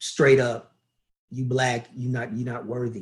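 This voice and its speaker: A man with an American accent speaks at a fairly slow pace and medium pitch, sounding somewhat breathy. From US South, Louisville, Kentucky. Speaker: beach volleyball coach. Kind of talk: casual interview conversation.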